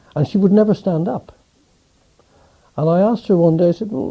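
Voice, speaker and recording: A man in a Welsh accent, dark and mellow in tone, at a fairly quick pace. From West Wales, Pembrokeshire. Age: 70s. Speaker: interviewee recalling his life. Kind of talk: oral history interview. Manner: halting, many repetitions.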